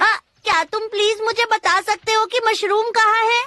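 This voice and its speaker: This is a put-on character voice with an extremely high pitch. It moves at a moderate pace. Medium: fan dub. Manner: excitable, boastful.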